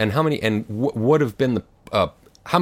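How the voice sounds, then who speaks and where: This man's intonation is lively. The recording is very clean, and the background is silent. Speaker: audio head and interviewer. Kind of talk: interview conversation. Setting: studio.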